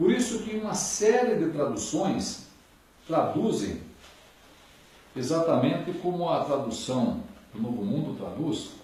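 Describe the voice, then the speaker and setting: Amid noticeable background noise and audible room echo, a high-pitched man speaks at a fairly slow pace with very wide pitch swings and long, frequent pauses. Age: 60s. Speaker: bible lecturer. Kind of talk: lecture.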